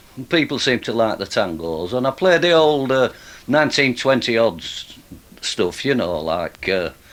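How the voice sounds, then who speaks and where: With a Yorkshire accent, a man at medium pitch talks at a fairly slow pace, his voice moving through very wide pitch swings. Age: 70s. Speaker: street musician. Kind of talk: casual chat. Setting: radio studio. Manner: halting.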